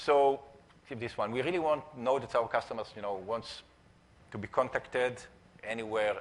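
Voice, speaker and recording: An Israeli accent at a fairly quick pace, with ordinary pitch variation. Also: man. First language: Hebrew. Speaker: entrepreneur and conference speaker. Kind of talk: conference talk. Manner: halting, many fillers.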